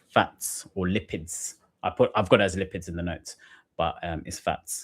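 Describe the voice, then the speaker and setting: A man speaks in a somewhat breathy voice. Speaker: GCSE science tutor. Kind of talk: live-stream revision lesson. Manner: fast.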